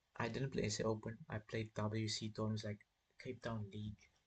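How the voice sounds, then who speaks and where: A man speaks at a fairly low pitch in a monotone, flat intonation. His voice is somewhat breathy. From South Africa. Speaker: chess streamer. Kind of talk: casual live stream chat while playing chess. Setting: live stream.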